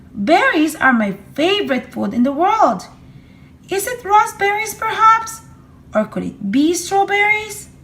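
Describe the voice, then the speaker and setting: In a put-on character voice, a woman talks at a moderate pace with a sing-song lilt. Her pitch is extremely high. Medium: read story. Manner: chirpy, singsong.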